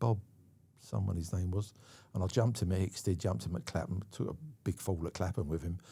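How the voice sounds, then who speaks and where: A man with a London accent and a very deep, low pitch, somewhat breathy with a dark, mellow tone, at a very fast pace with long, frequent pauses, in a very clean recording with a silent background. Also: ordinary pitch variation. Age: 70s. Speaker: stunt coordinator. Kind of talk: casual chat. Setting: studio.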